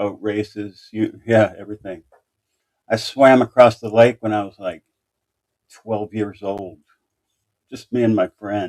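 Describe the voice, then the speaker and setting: In an American accent, a man with a fairly low pitch talks at a fairly slow pace with long, frequent pauses, monotone, flat intonation and big swings in loudness, in a dry, close sound with no echo. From Indiana, US Midwest (Anderson). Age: 60s. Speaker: true crime livestreamer. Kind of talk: casual live stream chat. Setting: live stream.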